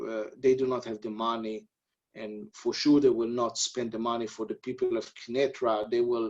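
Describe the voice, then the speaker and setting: A man with an Israeli accent, medium in pitch, with fairly even intonation. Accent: non-native English, Israeli. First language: Hebrew. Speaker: army officer. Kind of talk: webinar interview. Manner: halting.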